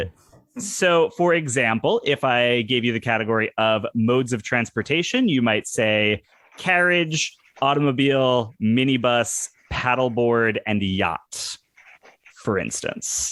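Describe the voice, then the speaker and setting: In an unremarkable speaking voice of medium pitch, a man talks at a fairly slow pace with ordinary pitch variation, the sound dry and close with no echo. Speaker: podcast co-host, game host. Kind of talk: game show hosting on podcast.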